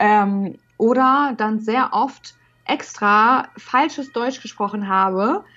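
A woman with a fairly high voice speaks very slowly, her pitch varying in an ordinary way. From northern Germany, Hamburg. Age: 20s. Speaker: university student who stutters. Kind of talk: interview. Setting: video call.

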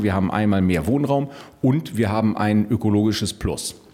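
Fairly quickly and with ordinary pitch variation, a man with a fairly low pitch talks through noticeable background noise. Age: 40s. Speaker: politician and lawyer. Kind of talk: political interview.

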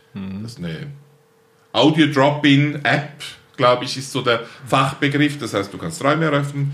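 With audible room echo, a man speaks at a moderate pace and fairly high pitch, with ordinary pitch variation. His loudness swings a lot, and he takes long, frequent pauses. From eastern Switzerland, St. Gallen Rheintal. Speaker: plant breeder and nursery company founder. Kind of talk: interview conversation.

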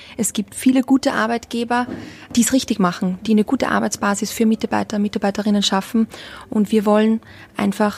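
In an Austrian accent, a woman with a fairly high-pitched voice speaks at a fairly quick pace with fairly even intonation. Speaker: hospitality brand ambassador. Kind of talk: interview. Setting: hotel in Berlin.

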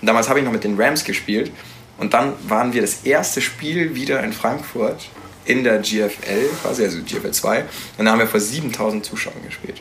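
A man's voice comes with noticeable background noise and audible room echo. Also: medium pitch for a man, ordinary pitch variation, moderate pace. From Nuremberg, Franconia (Bavaria). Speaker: American football quarterback. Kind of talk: casual interview. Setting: studio.

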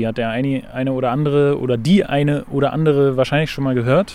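Fairly high-pitched male speech at a fairly quick pace. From Berlin. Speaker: podcast host. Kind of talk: casual chat.

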